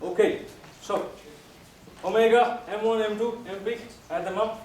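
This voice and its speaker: Amid noticeable background noise and audible room echo, a man speaks at a moderate pace in a high voice. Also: ordinary pitch variation. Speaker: professor. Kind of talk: lecture.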